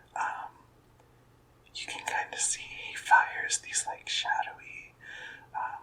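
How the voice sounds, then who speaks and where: A man whispers at a very slow pace. Noticeable background noise sits behind him. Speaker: ASMR content creator. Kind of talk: ASMR gaming show and tell. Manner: whispered, soft-spoken.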